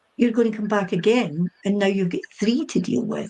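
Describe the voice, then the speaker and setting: A somewhat breathy voice in a Scottish accent, at a moderate pace with lively intonation. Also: woman. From Scotland. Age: 60s. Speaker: psychic medium. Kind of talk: interview on a chat show. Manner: hesitant, with many fillers and repeats.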